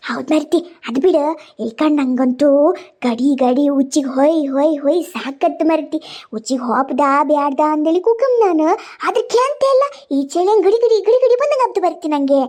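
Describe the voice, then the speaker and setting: Cartoonish character voice from a woman, high-pitched with very wide pitch swings and very even loudness. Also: moderate pace. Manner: rambling, complaining.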